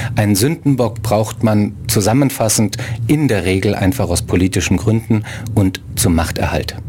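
A man speaks at a moderate pace and a fairly low pitch, with ordinary pitch variation and very even loudness, against noticeable background noise. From abroad, outside Germany. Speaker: writer and human rights activist. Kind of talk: radio interview.

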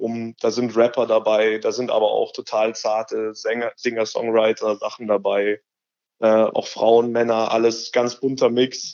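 A man at a moderate pace, with medium pitch, a slightly mellow tone and little pitch movement.

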